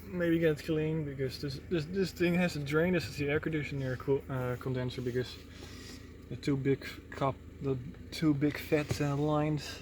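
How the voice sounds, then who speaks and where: Mumbling and somewhat breathy, a man speaks at a moderate pace with a fairly high pitch and fairly even intonation. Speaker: car repair video maker. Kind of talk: tutorial. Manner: halting.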